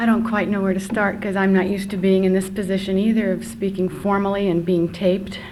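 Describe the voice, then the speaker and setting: A woman's very fast, nearly pause-free speech, flat and monotone, at a medium pitch and very even loudness, with noticeable background noise and audible room echo. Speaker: birth mother. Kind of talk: testimony. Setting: conference workshop.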